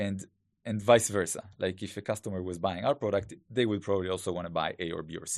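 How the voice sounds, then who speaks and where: A man speaks at a very fast pace with an Israeli accent and a very deep, low pitch. His intonation is fairly even, and the background is quiet. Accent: Hebrew-accented English. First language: Hebrew. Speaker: growth hacker and startup founder. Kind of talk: interview. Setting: studio.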